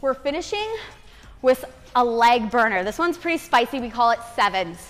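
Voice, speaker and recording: A woman's high-pitched voice at a fairly slow pace, with ordinary pitch variation and faint music in the background. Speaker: fitness instructor. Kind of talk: workout instruction cues. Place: home room.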